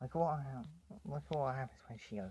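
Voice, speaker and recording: Dark and mellow in tone and somewhat breathy, a man's voice sits at medium pitch with ordinary pitch variation and a moderate pace. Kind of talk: casual talk to camera about toys. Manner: quiet, soft.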